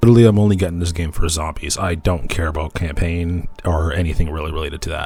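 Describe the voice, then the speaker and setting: With music in the background, a man with a very deep, low pitch talks at a very fast pace. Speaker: gaming content creator. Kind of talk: casual gaming commentary.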